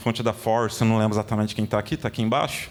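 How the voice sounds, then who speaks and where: A man is talking. His pitch is medium. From Rio de Janeiro, Brazil. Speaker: design executive, conference speaker. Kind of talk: conference talk. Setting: stage with audience. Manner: fast; casual, filler-heavy.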